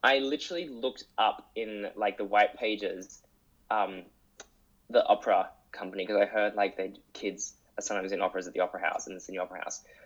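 The man talks at a very fast pace, his loudness swinging widely. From Sydney, Australia. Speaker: musical theatre performer. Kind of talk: interview conversation.

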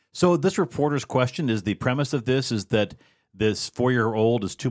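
Over a very clean, silent background with a dry, close sound and no echo, a man with a medium pitch and an unremarkable speaking voice talks at a fairly quick pace with lively intonation. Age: middle-aged. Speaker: podcast co-host and moderator. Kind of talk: casual political roundtable chat. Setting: studio roundtable.

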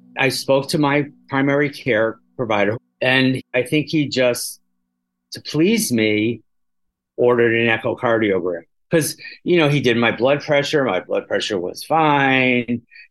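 In a normal speaking voice, a man talks at a fairly slow pace, with a medium pitch and ordinary pitch variation. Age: 60s. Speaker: patient living with HIV. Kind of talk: personal testimony.

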